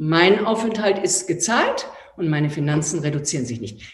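A woman speaks at a fairly slow pace in a fairly low, somewhat breathy voice with an animated tone and very wide pitch swings. Audible room echo surrounds her. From Austria. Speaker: entrepreneur and author. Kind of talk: online talk. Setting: live online event.

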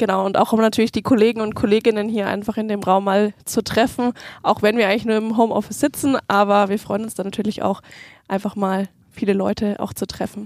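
Her fairly high voice runs at a fairly quick pace, the woman's intonation monotone and flat. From Nuremberg, Germany. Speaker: change management and training specialist. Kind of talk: podcast interview.

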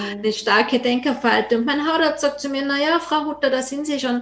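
Music plays in the background as a woman speaks in a high pitch with ordinary pitch variation. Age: 50s. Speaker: podcast host. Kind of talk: scripted intro and outro; interview. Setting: video call.

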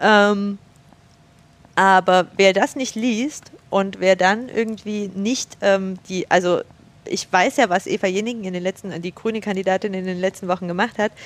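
At a moderate pace, a woman talks in an unremarkable speaking voice of medium pitch with fairly even intonation. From Saxony, village near Chemnitz. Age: 30s. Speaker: political youth education worker. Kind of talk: casual chat. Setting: university building room.

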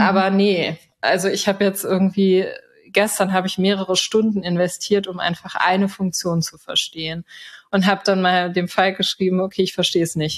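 A woman's mid-pitched voice stays monotone and flat in intonation while moving at a moderate speed. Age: 30s. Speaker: software developer, consultant. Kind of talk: casual interview. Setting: remote podcast recording.

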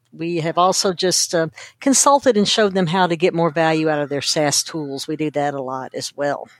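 A woman with an American accent and a fairly low voice. Her pitch varies in an ordinary way, and she has an unremarkable speaking voice. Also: moderate pace. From Kentucky, US South. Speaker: data storytelling consultant. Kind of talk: interview.

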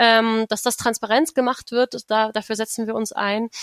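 In a very clean recording with a silent background and a dry, close sound with no echo, a woman with an ordinary speaking voice talks at a moderate pace and a fairly high pitch. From Brandenburg, near Berlin. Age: 20s. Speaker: democracy activist. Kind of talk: interview.

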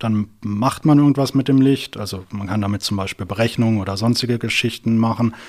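A man talks with hardly any pauses. His medium-pitched voice keeps a fairly even intonation. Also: fairly quick pace. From southern Germany, near Karlsruhe. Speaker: physics PhD student and startup founder. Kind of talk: interview. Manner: hesitant, many fillers.

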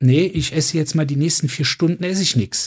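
Somewhat breathy male voice with ordinary pitch variation. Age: 40s. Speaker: doctor and podcast co-host. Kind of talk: casual chat.

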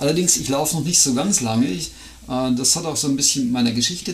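A man speaks at a fairly high pitch with lively intonation. Audible room echo and noticeable background noise come through. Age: 50s. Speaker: podcast co-host, amateur trail runner. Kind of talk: casual chat.

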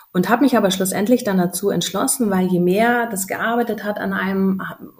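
With noticeable background noise behind her, a woman speaks at medium pitch and a moderate pace, her intonation fairly even. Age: 30s. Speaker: mother sharing birth story. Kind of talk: interview.

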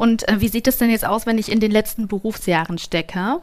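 Recorded very cleanly against a silent background, a woman with a fairly high pitch speaks at a moderate pace. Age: 30s. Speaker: podcast host. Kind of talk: live podcast interview. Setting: stage with live audience.

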